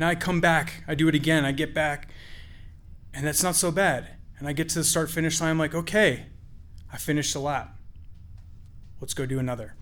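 Audible room echo surrounds a fairly quick delivery with fairly even intonation, broken up by long, frequent pauses. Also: man, fairly high pitch for a man. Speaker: storyteller. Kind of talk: live storytelling. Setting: stage with audience.

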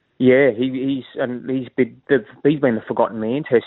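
Fairly even intonation marks this man's talk, delivered at a medium pitch and a fairly quick pace. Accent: Australian. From Sydney, Australia. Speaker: sports journalist. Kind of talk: radio interview.

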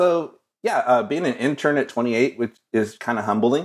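A man with a normal speaking voice, medium pitch and lively intonation at a moderate pace, in a very clean recording with a silent background. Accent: American. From West Texas (Odessa). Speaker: designer and illustrator. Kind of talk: casual interview.

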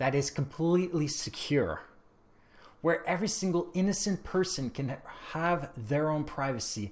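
The speaker has a Canadian accent, vocal fry and lively intonation at a fairly slow pace. The recording is very clean, with a silent background. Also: man. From Canada. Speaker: tech podcaster. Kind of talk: opinion monologue.

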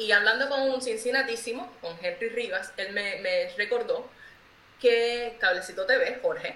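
Audible room echo and noticeable background noise fill the recording as a woman talks. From Cuba. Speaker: artist. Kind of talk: interview.

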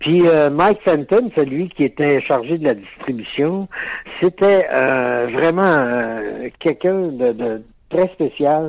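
A man with a fairly high pitch talks at a very slow pace. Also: lively intonation. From Quebec, Lac-Saint-Jean. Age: 70s. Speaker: actor. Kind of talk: interview.

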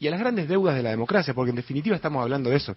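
Somewhat breathy, a man talks at a fairly high pitch that swings very widely. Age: 30s. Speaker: mayoral candidate, politician. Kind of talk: radio interview. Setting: studio.

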